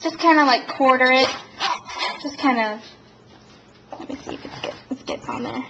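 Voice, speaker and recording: Amid noticeable background noise, a high-pitched woman speaks at a moderate pace with fairly even intonation and long, frequent pauses. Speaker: home cooking video host. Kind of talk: cooking tutorial. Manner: casual, many fillers.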